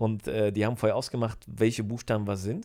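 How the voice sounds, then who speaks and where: A dark, mellow tone at a very fast pace, on a very clean recording with a silent background. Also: man. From Germany, moved from Poland as a small child. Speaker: podcast guest, host's brother-in-law. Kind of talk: casual chat.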